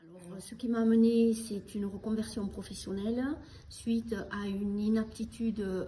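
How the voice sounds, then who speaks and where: Against noticeable background noise, a woman with a fairly high pitch speaks at a moderate pace in a flat monotone, with big swings in loudness. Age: 60s. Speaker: childcare center director. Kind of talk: testimony. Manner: halting.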